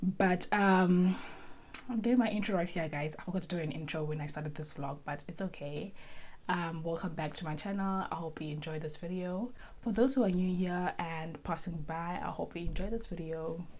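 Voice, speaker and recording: Audible room echo surrounds a woman with a fairly low pitch. She keeps a moderate pace and ordinary pitch variation. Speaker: lifestyle vlogger. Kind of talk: casual vlog talk to camera.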